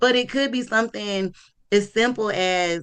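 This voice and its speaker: The voice carries a strong Southern US accent. Its tone is animated, with ordinary pitch variation. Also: woman. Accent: strong Southern country. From US South. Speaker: marketing entrepreneur and local influencer. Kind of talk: casual talk.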